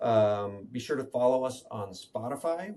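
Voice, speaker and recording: A man speaks in a normal speaking voice, medium in pitch with ordinary pitch variation. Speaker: tech podcast co-host. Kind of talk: casual chat.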